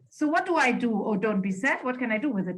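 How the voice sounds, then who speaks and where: Music plays in the background as a woman with a fairly high pitch makes very wide pitch swings. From northern Germany. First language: German. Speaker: spiritual coach. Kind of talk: casual chat.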